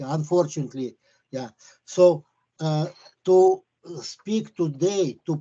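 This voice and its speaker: A man with a fairly high pitch talks at a very slow pace, with ordinary pitch variation and long, frequent pauses. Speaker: property tax appellant. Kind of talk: formal administrative hearing. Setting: video call.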